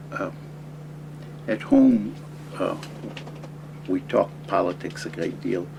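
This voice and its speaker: American accent at a fairly slow pace, noticeable background noise behind it. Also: man. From California. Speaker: anthropology professor. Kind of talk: interview. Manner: halting, many fillers.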